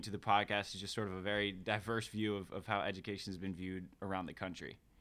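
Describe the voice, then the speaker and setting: A man talks at a very fast pace with an American accent. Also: hardly any pauses. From Maryland (outside Baltimore). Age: 20s. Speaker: college counselor. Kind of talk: roundtable discussion.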